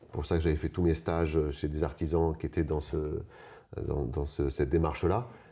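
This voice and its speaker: Recorded very cleanly against a silent background, a man with a very deep, low pitch and a dark, mellow tone speaks at a moderate pace with vocal fry and fairly even intonation. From Paris region, France. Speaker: eco-building mason. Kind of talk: interview. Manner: halting, many hesitations.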